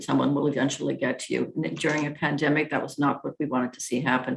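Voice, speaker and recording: Fairly even intonation and vocal fry in a woman's very deep, low voice. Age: 60s. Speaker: municipal politician. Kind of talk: keynote speech.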